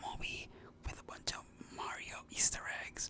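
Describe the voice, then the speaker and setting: Whispering at a moderate pace against noticeable background noise. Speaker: ASMR content creator. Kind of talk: ASMR movie review, casual rambling talk to camera. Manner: casual, rambling, conversational.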